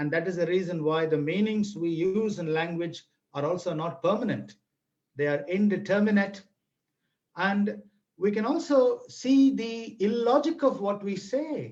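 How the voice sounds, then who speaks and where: A man speaks with a Tamil accent at a moderate pace. His pitch is high and his intonation lively. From Tamil Nadu, India. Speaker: language teaching speaker. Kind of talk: webinar lecture. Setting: online video webinar. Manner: animated.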